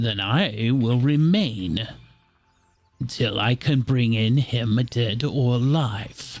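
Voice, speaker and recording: A man puts on a character voice at medium pitch. He talks at a very slow pace with music in the background. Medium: actual play. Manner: haughty, formal.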